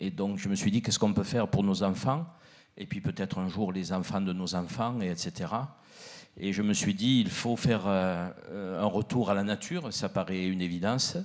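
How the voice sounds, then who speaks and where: Speaking with a strong southern French accent, a man keeps a fairly low pitch with ordinary pitch variation. His moderate pace comes through on a very clean recording with a silent background. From southern France, Provence (Arles area). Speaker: miller and baker, panelist. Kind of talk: panel discussion.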